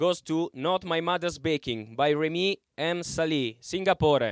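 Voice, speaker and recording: A man with an Italian accent speaks at a moderate pace in a high voice with ordinary pitch variation, recorded very cleanly against a silent background with a dry, close sound and no echo. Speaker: festival director. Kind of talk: award ceremony announcing. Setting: stage with audience.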